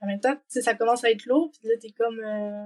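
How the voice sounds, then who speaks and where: With a Quebec accent, a woman speaks at a fairly high pitch in a dry, close sound with no echo. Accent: Québécois. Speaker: working holiday traveler. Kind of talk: podcast interview. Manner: casual, many fillers.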